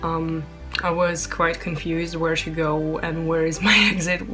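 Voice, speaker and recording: Over clear music in the background, a woman with a fairly low voice talks at a fairly slow pace in a monotone, flat intonation. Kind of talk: casual vlog chat. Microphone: phone near.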